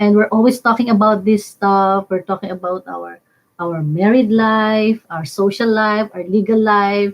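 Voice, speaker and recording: A woman speaks with a Filipino accent. Her pace is fairly slow and her intonation fairly even. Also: medium pitch for a woman. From Philippines. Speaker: lawyer. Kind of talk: legal discussion with co-host. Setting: live stream. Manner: code-switching English and Filipino.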